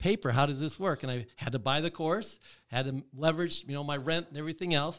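With an American accent, a man talks at a very fast pace in a fairly high pitch with ordinary pitch variation, on a very clean recording with a silent background. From Michigan. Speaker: real estate investor. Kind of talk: interview. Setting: studio.

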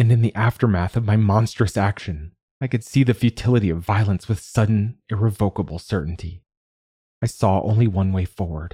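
A somewhat breathy, fairly low man's voice with a dark, mellow tone, dry and close with no echo, in a very clean recording with a silent background. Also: ordinary pitch variation. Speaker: podcast host and narrator. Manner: measured, soft and introspective, with a hushed, wistful tone in the reflective passages; clear and formal in the preface, steady pace.

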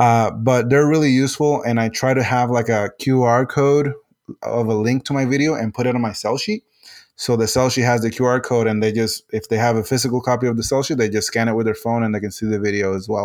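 A man with a Spanish accent talks at a very fast pace, medium in pitch, with fairly even intonation. The recording is very clean, with a silent background. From Puerto Rico. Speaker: game designer and civil engineer. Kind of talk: interview. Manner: halting, many fillers and repetitions.

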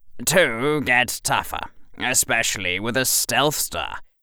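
Putting on a character voice, a man speaks gruffly at medium pitch and a moderate pace. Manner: curt, gruff, impatient.

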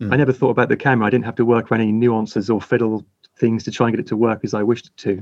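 Speaking at a very fast pace, a man with a medium pitch keeps a monotone, flat intonation while his loudness swings widely. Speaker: wedding photographer and camera brand ambassador. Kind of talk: casual chat.

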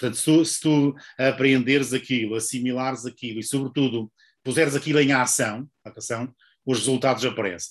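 Speaking at a moderate speed, a man uses a normal speaking voice at a medium pitch, his intonation fairly even. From northern Portugal. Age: 50s. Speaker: book publisher and author. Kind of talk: interview.

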